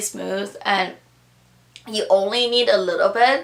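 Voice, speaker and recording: A woman with a fairly high pitch at a moderate pace, with noticeable background noise. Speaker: beauty vlogger. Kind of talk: product review vlog. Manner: casual, rambling with fillers.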